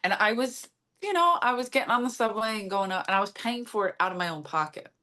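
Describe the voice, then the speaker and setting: Talking very fast, a woman with an American accent uses lively intonation at a fairly high pitch. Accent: Philadelphia accent, once thick. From US Northeast, South Philadelphia. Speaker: comedian. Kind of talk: casual chat.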